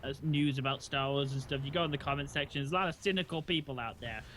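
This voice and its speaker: A man speaks with an English accent. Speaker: gaming streamer. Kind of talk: casual chat.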